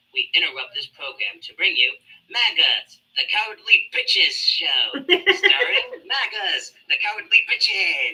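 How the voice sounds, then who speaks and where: A woman uses a cartoonish character voice. She speaks at a fairly slow pace. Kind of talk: exaggerated cartoon voice.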